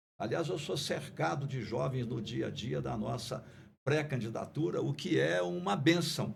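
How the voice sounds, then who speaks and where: A man's voice with vocal fry and very wide pitch swings, in a room with audible echo. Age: 70s. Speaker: politician and sociologist. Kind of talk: podcast discussion. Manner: formal.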